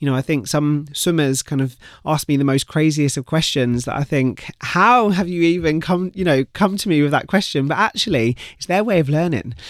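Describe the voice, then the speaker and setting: A man with a British accent, fairly high pitch, moderate pace and ordinary pitch variation, recorded very clean and silent with a dry, close sound and no echo. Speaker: retired swimmer and campaigner. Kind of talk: casual interview. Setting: studio.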